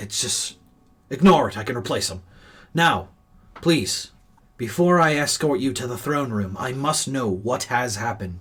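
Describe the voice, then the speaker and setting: Using a put-on character voice, a man speaks at a medium pitch and a moderate pace, with long, frequent pauses. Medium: actual play. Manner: formal, earnest.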